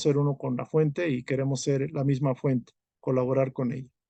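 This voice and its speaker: The voice has a dark, mellow tone and fairly even intonation. It moves at a moderate pace, with a dry, close sound and no echo. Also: man. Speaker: spiritual study group teacher. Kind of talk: lecture.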